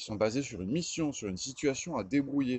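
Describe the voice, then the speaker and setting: A man at a fairly quick pace, in a dry sound with no echo. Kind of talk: casual vlog chat. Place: garden. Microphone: phone near.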